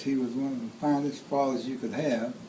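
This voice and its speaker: There is noticeable background noise and audible room echo as a man with a fairly high pitch speaks with ordinary pitch variation. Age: 80s+. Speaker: family elder telling life story. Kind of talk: birthday speech, personal storytelling. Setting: home gathering with family audience. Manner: halting, repeats words.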